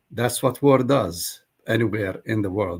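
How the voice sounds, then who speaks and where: A somewhat breathy man's voice, fairly low in pitch and fairly slow in pace, on a very clean recording with a silent background. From Palestine, Jerusalem. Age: 70s. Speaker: pastor. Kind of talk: interview.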